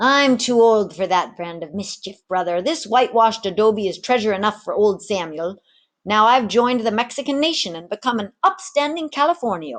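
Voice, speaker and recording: A woman's put-on character voice, fairly high and cackling, with big swings in loudness, lively intonation and a moderate pace over a quiet background. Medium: read story.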